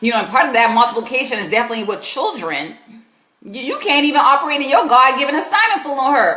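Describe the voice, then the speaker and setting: With an American accent, a high-pitched woman talks at a very fast pace in a raised, projected voice and an animated tone, with very wide pitch swings and audible room echo. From US South, South Carolina. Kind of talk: live Q&A advice stream. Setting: live stream.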